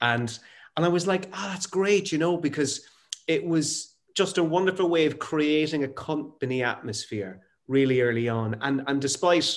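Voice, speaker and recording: A man with an Irish accent, fairly high pitch and lively intonation. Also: moderate pace. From Ireland, Waterford. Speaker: actor and interviewer. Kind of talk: casual chat. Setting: video call.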